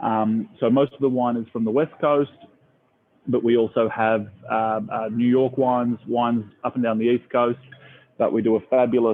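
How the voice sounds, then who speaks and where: Speaking with an Australian accent, a man with a medium pitch talks in a monotone, flat intonation and takes long, frequent pauses. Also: moderate pace. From Australia, Melbourne. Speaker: restaurant owner. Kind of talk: casual interview. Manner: halting.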